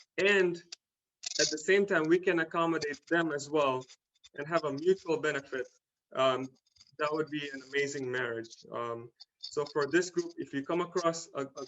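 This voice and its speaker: Speaking at a moderate pace with a non-native accent, a man uses a fairly high pitch and fairly even intonation. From Tanzania, East Africa. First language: not English. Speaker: small business owner. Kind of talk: talk to a community club. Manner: hesitant, many fillers.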